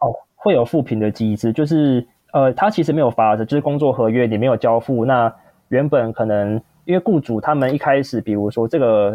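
A man with a Taiwanese accent talks at a medium pitch and a fairly quick pace. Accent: Taiwanese Mandarin. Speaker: freelance coach. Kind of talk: podcast interview.

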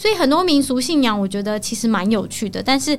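A woman with a Taiwanese accent talks at a very fast pace over noticeable background noise. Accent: Taiwanese Mandarin. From Taiwan, Taoyuan. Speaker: local resident sharing travel tips. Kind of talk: casual chat.

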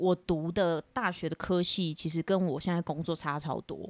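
A woman with an ordinary speaking voice at a fairly low pitch. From Taiwan, northern coast (Shimen). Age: 20s. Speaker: temple family daughter, TV station employee. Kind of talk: casual interview.

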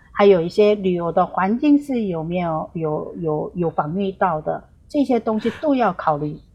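A woman speaks with a Korean accent at a fairly slow pace. Her voice is somewhat breathy. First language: Korean (speaking Chinese). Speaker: tour guide. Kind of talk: remote interview. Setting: remote call. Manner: halting, many fillers.

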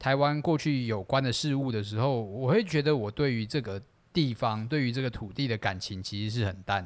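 On a very clean recording with a silent background, a man speaks at a medium pitch and a moderate pace. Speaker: podcast co-host. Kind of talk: casual chat.

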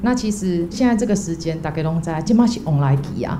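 A woman with a fairly low pitch and lively intonation, amid audible room echo and noticeable background noise. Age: young. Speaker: volunteer. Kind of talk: testimony.

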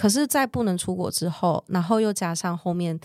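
A woman with a Taiwanese accent speaks at a fairly quick pace and medium pitch, with ordinary pitch variation. The recording is very clean, with a silent background and a dry, close sound with no echo. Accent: Taiwanese Mandarin. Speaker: world traveler sharing her story. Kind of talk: casual interview chat.

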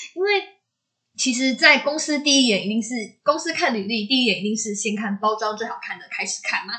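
A woman with a Taiwanese accent speaks at a fairly quick pace with lively intonation. Her fairly high voice has a bright, sharp tone. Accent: Taiwanese Mandarin. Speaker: podcast co-host. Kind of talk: casual chat.

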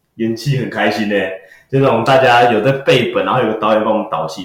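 A man talks at a very fast pace in a somewhat breathy voice. Audible room echo surrounds the recording. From Taiwan, Taipei. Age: 30s. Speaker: magician and comedy performer. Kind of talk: casual interview chat. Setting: studio.

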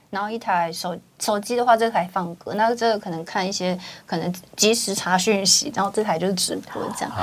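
Against noticeable background noise, a woman speaks fairly quickly at a medium pitch. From Taiwan, Kaohsiung. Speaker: livestream host. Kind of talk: casual chat interview. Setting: studio. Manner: animated.

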